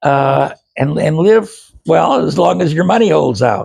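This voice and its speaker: A man is speaking. His voice has vocal fry. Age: 80s+. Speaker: video blogger on investing. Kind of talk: casual monologue to camera. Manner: halting, many fillers and repeats.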